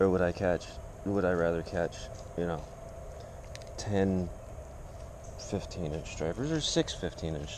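With a very deep, low pitch and ordinary pitch variation, a man talks at a fairly slow pace in a dry recording with no echo and noticeable background noise. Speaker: fishing video creator. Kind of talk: casual tutorial. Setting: outdoors. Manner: casual, rambling. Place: garden. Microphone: camera far.

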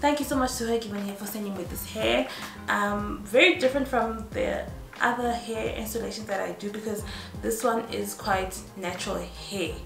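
At a moderate pace, a woman speaks while clear music sounds behind her. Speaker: beauty vlogger. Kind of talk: casual vlog chat.

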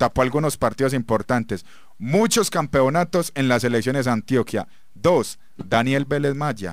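A man uses an ordinary speaking voice at a fairly slow pace, with medium pitch and ordinary pitch variation. His loudness stays very even, the sound is dry with no echo, and the background is quiet. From Colombia, Medellín. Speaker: football radio commentator. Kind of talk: sports radio talk show. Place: studio.

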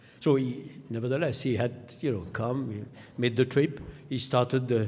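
Somewhat breathy and dark, mellow in tone, a man's voice moves with fairly even intonation. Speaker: guest. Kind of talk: speech. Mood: warm, humorous. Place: hall. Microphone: podium.

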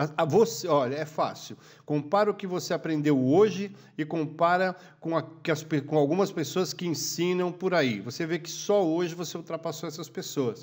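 At a moderate pace, a man with a fairly high pitch speaks in an animated tone with ordinary pitch variation on a very clean recording with a silent background. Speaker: photographer and YouTube educator. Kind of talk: casual monologue tutorial. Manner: animated, informal.

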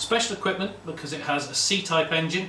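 A man talks at a moderate pace. Audible room echo and light background noise surround him. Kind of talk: show-and-tell walkaround commentary. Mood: proud, calm. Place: garage.

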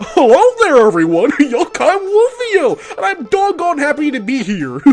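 A put-on character voice, high-pitched with very wide pitch swings, at a moderate pace over clear music in the background. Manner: goofy, cheerful.

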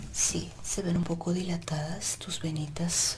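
A soft-spoken woman whispering in a calm tone at a very slow pace, with noticeable background noise. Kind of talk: ASMR role-play, soft spoken. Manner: soft ASMR whisper, calm and close.

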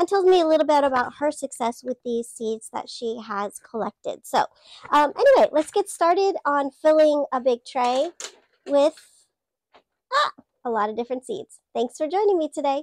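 A woman's high, squeaky voice carries lively intonation. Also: moderate pace, dry sound with no echo. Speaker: gardener. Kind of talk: casual talk to camera. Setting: greenhouse. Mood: warm, friendly. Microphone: lapel.

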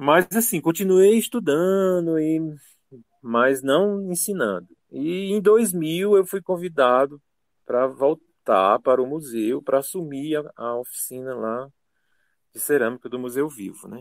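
A man with a fairly high pitch and lively intonation speaks at a fairly slow pace, his loudness swinging widely in a dry, close sound with no echo. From Brazil, Ceará (Cascavel). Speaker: ceramics teacher. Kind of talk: interview. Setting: radio studio. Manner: halting.

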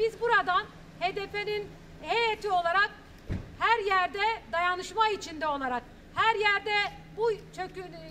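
A bright, sharp tone carries speech at a fairly slow pace with ordinary pitch variation. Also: woman, extremely high pitch for a woman.

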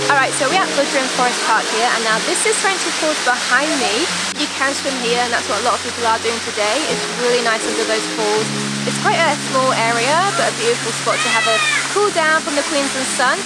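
A woman speaking at a fairly quick pace over music in the background. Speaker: travel vlogger. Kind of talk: casual vlog chat. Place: waterside. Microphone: phone near.

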